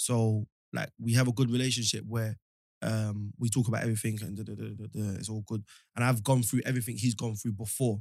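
In a London accent, a man speaks at a medium pitch with flat, monotone intonation on a very clean recording with a silent background. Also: fairly quick pace, dry, close sound with no echo. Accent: London multicultural English. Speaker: podcast guest. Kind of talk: casual chat. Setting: studio.

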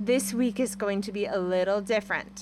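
Noticeable background noise runs under a woman speaking at a moderate pace with a medium pitch. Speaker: podcast host. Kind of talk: casual chat.

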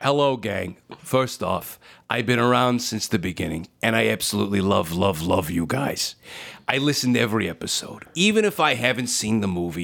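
In a raspy, put-on character voice, a man speaks at a moderate pace and a medium pitch. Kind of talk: casual, fan greeting. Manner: enthusiastic, gushing.

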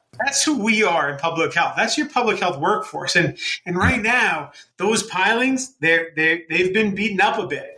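With a raised, projected voice, a man speaks at a high pitch in a bright, sharp tone with lively intonation. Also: moderate pace. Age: 40s. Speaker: epidemiologist and health foundation president. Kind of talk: interview. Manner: halting, repeats words.

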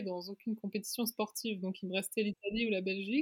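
A woman at a moderate pace with an ordinary speaking voice. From Luxembourg. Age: 20s. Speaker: fashion designer and magazine founder. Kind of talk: casual interview.

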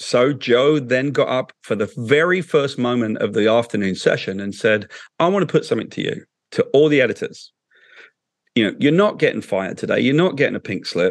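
A man with a British accent and a fairly high pitch talks at a fairly quick pace with lively intonation. The background is quiet. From England. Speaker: comic book writer. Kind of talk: interview. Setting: video call.

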